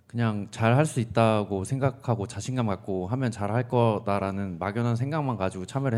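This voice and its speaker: A man's fairly low voice with ordinary pitch variation at a moderate pace, in a very clean recording with a silent background. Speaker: university student, mock interviewee. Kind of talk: mock job interview. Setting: studio. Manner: lacking confidence.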